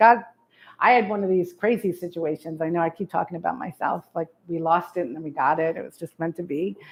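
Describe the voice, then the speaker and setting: A woman with a New York accent talks at a very fast pace and a fairly low pitch, with ordinary pitch variation and big swings in loudness. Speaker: real estate marketing speaker. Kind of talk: presentation to realtors. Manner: animated.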